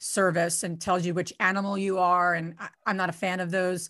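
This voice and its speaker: A woman's plain, everyday voice at a moderate pace and medium pitch, over a quiet background. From New Jersey. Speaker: real estate investor. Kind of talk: guest talk on live video call.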